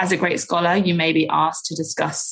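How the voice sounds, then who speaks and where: A woman speaks with a British accent at a fairly low pitch. Her voice carries vocal fry, and her pace is fairly quick. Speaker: communications manager for a study campaign. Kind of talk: podcast interview.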